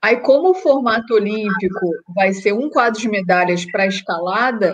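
A woman with an ordinary speaking voice has a fairly high pitch. She talks at a fairly slow pace with ordinary pitch variation. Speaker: sport climber. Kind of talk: interview.

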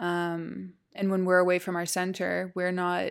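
In a very clean recording with a silent background, a woman with an American accent speaks at medium pitch and a fairly slow pace, her intonation monotone and flat. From US South. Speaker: business mentor and breathwork teacher. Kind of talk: casual chat. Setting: studio.

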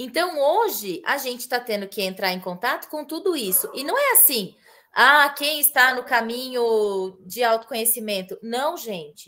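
Speaking at a fairly slow pace with hardly any pauses, a woman uses a high, bright, sharp voice that swings very widely in pitch. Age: 30s. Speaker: family constellation therapist. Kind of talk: casual chat.

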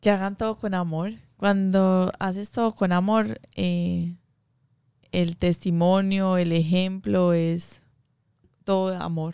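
Slowly and with long, frequent pauses, a woman speaks in a dark, mellow tone at a medium pitch with fairly even intonation. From Colombia, Medellín. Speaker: small business owner, baker. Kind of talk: interview.

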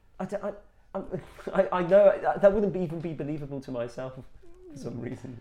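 Noticeable background noise sits behind a man with a fairly high voice and lively intonation. He talks at a fairly quick pace with long, frequent pauses and big swings in loudness. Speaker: football podcast co-host. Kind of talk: casual chat.

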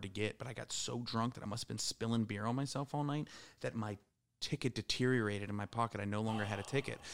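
In a fairly low pitch, a man speaks at a very fast pace. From Pittsburgh. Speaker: podcast guest. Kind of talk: casual chat.

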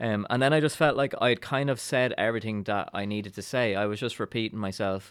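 Speaking at a fairly quick pace, a man with an Irish accent has a medium pitch and ordinary pitch variation. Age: 40s. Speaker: actor and writer. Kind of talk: casual chat.

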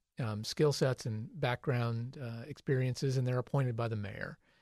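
Medium-pitched, somewhat breathy male speech with an American accent, fairly even intonation and a moderate pace, dry and close with no echo against a quiet background. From US Midwest, Ohio (Crawford County). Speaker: city planning administrator. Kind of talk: radio interview.

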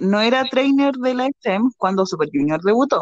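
A woman with a Chilean accent and very wide pitch swings, in a dry, close sound with no echo. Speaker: podcast co-host. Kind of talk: casual chat. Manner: laughs often, overlapping talk.

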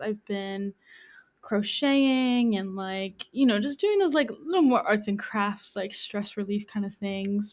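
A woman's unremarkable speaking voice in an American accent, fairly high in pitch with ordinary pitch variation, at a fairly slow pace on a very clean recording with a silent background. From Hudson Valley, New York. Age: 20s. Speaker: community health educator. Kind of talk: casual interview.

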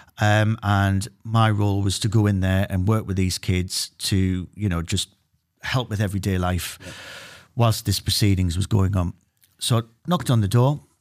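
A man's fairly low voice in a Geordie accent, fairly even in intonation, on a very clean recording with a silent background. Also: moderate pace. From Newcastle, northeast England. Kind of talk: interview.

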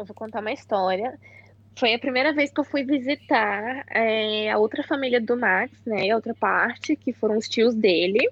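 A woman talks in a normal speaking voice at a fairly high pitch. Her pace is moderate, with ordinary pitch variation. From Brazil. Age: 20s. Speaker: exchange student. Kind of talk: casual chat.

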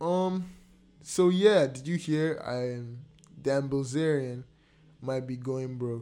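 A man at a very slow pace, medium pitch, ordinary pitch variation, and long, frequent pauses. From Nigeria. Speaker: podcast host. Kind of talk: casual chat.

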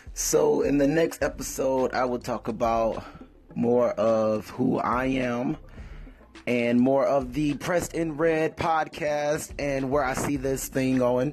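Noticeable background noise sits behind a man's voice. He speaks very slowly at a medium pitch with fairly even intonation. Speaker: podcast host. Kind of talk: solo monologue podcast.

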